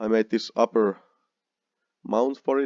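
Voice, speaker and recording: With a Finnish accent, a man speaks in a fairly low pitch and a dark, mellow tone, the sound dry and close with no echo and the background quiet. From Finland. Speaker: car builder vlogger. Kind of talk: narrated slide show. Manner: halting.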